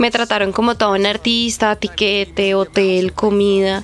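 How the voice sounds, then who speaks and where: A woman with a fairly high voice speaks at a fairly slow pace with ordinary pitch variation while music plays in the background. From Colombia, Bogotá (Ciudad Bolívar). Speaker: DJ. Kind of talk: interview.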